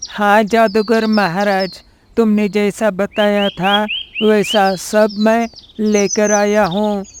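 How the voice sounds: This cartoonish character voice has a fairly high pitch, a monotone, flat intonation and a very slow pace.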